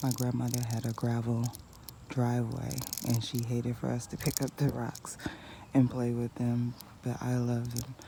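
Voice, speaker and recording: A woman speaks quietly in a very deep, low voice with monotone, flat intonation. Her pace is moderate with long, frequent pauses, over noticeable background noise. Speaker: gardening vlogger. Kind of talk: casual vlog narration. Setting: outdoors in backyard garden before sunrise. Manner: quiet, low-volume speech; hesitant, many fillers.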